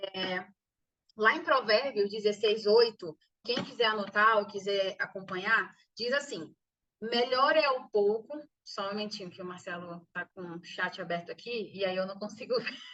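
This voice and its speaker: Ordinary pitch variation, big swings in loudness, and a moderate pace. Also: woman, fairly high pitch for a woman. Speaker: business course instructor. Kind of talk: online lecture. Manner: soft-spoken. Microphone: too quiet.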